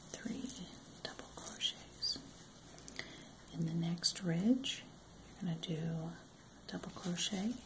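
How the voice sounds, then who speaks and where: Soft-spoken and calm, the voice moves at a very slow pace with long, frequent pauses over noticeable background noise. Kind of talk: crochet tutorial, soft-spoken instruction to camera. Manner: soft-spoken, calm.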